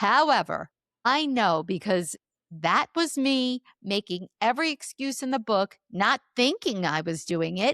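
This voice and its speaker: Using a fairly high pitch with very wide pitch swings, a woman talks at a fairly slow pace in a dry, close sound with no echo. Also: very clean recording, silent background. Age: 60s. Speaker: author and speaker. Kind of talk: interview.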